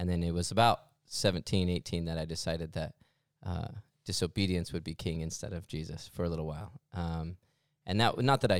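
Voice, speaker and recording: An American-accented man speaks at a fairly quick pace in a very deep, low voice with ordinary pitch variation, in a very clean recording with a silent background and a dry, close sound with no echo. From Mesa, Arizona. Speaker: church staff member and podcast co-host. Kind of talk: casual chat.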